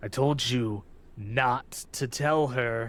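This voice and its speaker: Putting on a character voice, a man speaks at a medium pitch, nasal and growling, with fairly even intonation. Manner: snarling, scolding.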